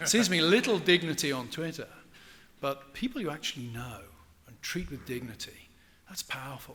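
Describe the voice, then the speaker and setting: A man talks very fast with an English accent. His fairly high voice has a bright, sharp tone. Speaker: professor. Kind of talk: lecture Q&A.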